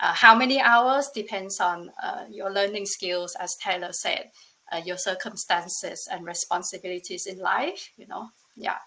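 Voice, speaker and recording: Bright and sharp in tone, a woman's medium-pitched voice moves at a moderate pace with ordinary pitch variation. Her loudness swings widely. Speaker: former bootcamp student. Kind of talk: webinar testimony.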